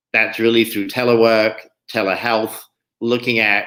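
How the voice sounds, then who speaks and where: A man speaks with an English accent on a very clean recording with a silent background. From England. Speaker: state climate policy official. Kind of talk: panel discussion.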